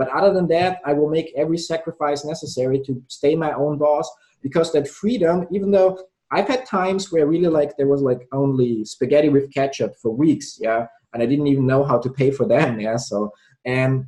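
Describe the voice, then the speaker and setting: Speaking at a fairly quick pace, a man uses a fairly high pitch with ordinary variation. His voice is somewhat breathy, with a non-native accent. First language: not English. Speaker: entrepreneur and sales trainer. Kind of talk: casual interview.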